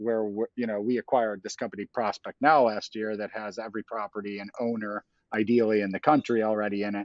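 A man speaks at a fairly quick pace in a normal speaking voice, with his pitch sitting in the medium range. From Chicago. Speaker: tech company CEO. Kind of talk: interview.

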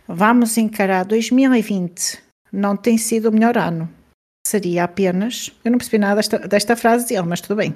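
Speaking with a European Portuguese accent, a woman uses a fairly high voice, a moderate pace and fairly even intonation. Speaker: podcast co-host. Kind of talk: casual chat.

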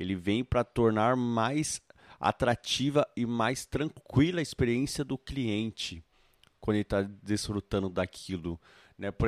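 A man with a normal speaking voice talks at a fairly slow pace in a medium pitch, with ordinary pitch variation. The recording is very clean with a silent background, and the sound is dry and close with no echo. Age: 20s. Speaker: physical educator and recreation entrepreneur. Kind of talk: interview. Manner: casual, with fillers.

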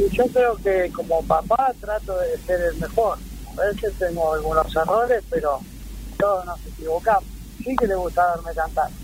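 A man speaks at a moderate pace, music playing behind him. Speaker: rock singer. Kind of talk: radio interview.

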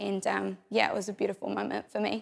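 A woman with a New Zealand accent on a very clean recording with a silent background. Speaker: churchgoer sharing testimony. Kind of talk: testimony.

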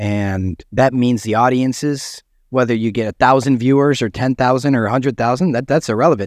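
A man speaks with an American accent at medium pitch, at a fairly quick pace with hardly any pauses. He has an ordinary speaking voice against a quiet background. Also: ordinary pitch variation. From US Midwest, Chicago. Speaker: documentary filmmaker. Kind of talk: casual chat.

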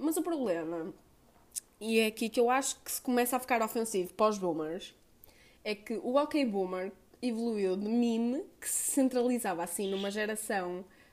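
A woman with a normal speaking voice talks at a moderate pace with a fairly high pitch and lively intonation. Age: 20s. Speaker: podcaster. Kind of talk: solo monologue podcast.

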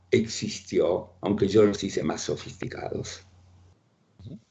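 Lively intonation marks this man's speech. His voice carries some breathiness. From Ukraine, raised in Buenos Aires from age 7. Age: 80s+. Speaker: writer and economist. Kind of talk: interview. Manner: halting, repeats words.

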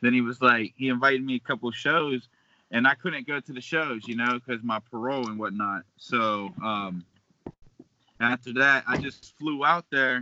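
An unremarkable speaking voice from a man, medium in pitch with ordinary pitch variation, at a moderate pace and with an American accent. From western Pennsylvania, Beaver Falls / Pittsburgh. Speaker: hip-hop artist. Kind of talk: casual chat.

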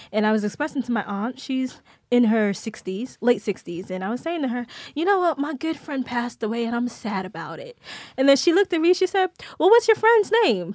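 A woman with a high pitch speaks in an animated tone at a fairly quick pace, her voice making very wide pitch swings in a very clean recording with a silent background. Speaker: actress and singer. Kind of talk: casual chat.

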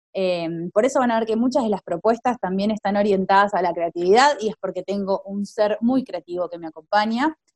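This woman has an ordinary speaking voice at a fairly high pitch. She talks at a moderate pace with ordinary pitch variation. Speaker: podcast host, teacher. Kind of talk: casual chat.

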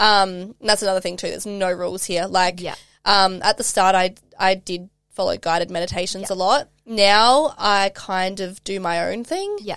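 In an Australian accent, a woman speaks at medium pitch and a moderate pace with fairly even intonation on a very clean recording with a silent background. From South Australia. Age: 20s. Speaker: life and mindset coach. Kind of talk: casual interview chat.

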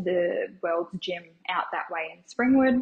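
In an Australian accent, a woman speaks at a very slow pace. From Brisbane, Australia (Logan area). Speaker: tanning salon owner. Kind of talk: interview, casual chat.

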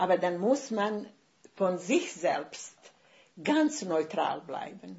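A woman's very slow, somewhat breathy voice with a Bosnian accent, medium in pitch, with very wide pitch swings and long, frequent pauses. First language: Bosnian (speaking German). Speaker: writer. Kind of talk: casual chat. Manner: halting.

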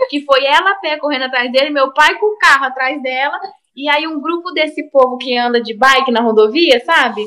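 Raised and projected, a woman's high-pitched voice has a bright, sharp tone, ordinary pitch variation and a fairly quick pace. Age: 20s. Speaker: lawyer. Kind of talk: casual chat. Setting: video call.

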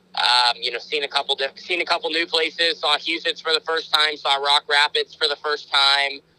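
A man's fairly high-pitched voice, bright and sharp in tone, at a moderate pace with hardly any pauses, fairly even intonation, and a dry, close sound with no echo. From Oregon, US West Coast. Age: 20s. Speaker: sprint car driver. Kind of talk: interview. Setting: in a car.

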